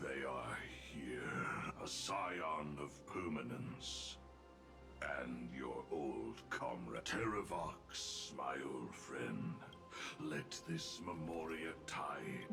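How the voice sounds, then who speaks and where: A man's put-on character voice, very deep and low, solemn and menacing, at a very slow pace over loud background music. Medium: video game. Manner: solemn, menacing.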